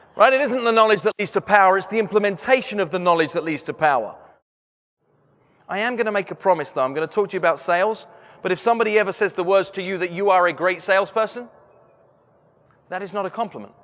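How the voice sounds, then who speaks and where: Words come at a very fast pace in an English accent. Long pauses break them up often. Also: man, high pitch for a man, ordinary pitch variation. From London, England. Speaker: sales trainer and motivational speaker. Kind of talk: keynote talk. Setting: stage with audience. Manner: animated.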